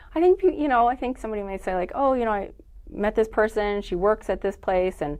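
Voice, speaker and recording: A woman speaks very fast at a fairly high pitch with lively intonation. The background is quiet. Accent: slight Californian. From California. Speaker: nonprofit network founder. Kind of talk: casual interview chat. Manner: conversational, many fillers.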